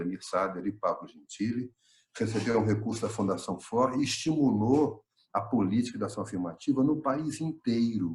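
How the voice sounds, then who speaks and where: Somewhat breathy, a man's voice moves at a fairly quick pace with ordinary pitch variation. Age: 60s. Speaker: retired professor and researcher. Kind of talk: online panel talk.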